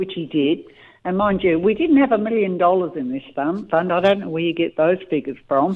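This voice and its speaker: The woman's pitch is fairly low with ordinary variation. She speaks at a fairly quick pace. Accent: Australian. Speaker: caller. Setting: phone call.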